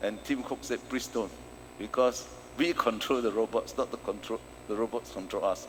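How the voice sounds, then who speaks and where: A man is speaking. His pace is moderate. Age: 60s. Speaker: professor and consultant. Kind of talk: conference keynote.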